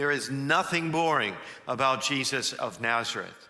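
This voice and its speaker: Noticeable background noise sits behind the speech. The pace is moderate and pitch varies in an ordinary way. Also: man. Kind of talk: church homily / sermon. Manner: engaging, energetic, conversational.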